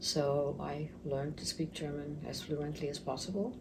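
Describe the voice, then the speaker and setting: Amid audible room echo, a woman with a very deep, low pitch talks at a moderate pace in a monotone, flat intonation. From Mozambique. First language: Portuguese. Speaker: retirement center business owner. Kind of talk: interview.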